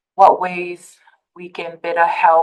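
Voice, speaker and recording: A woman with a Tongan accent speaks at a very slow pace. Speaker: public health program specialist. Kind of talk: conference presentation. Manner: halting, many fillers.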